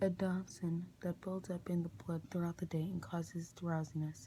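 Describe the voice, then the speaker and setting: Soft-spoken, a man talks with a dark, mellow tone. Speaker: ASMR creator. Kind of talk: ASMR book reading.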